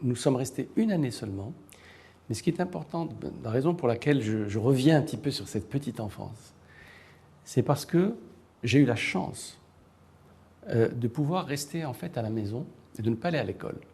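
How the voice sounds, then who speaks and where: Over a quiet background, a man of medium pitch talks at a fairly quick pace with lively intonation and long, frequent pauses. His voice is somewhat breathy, with a dark, mellow tone. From Morocco. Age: 60s. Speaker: writer and university professor. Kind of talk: interview. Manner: hesitant, many fillers.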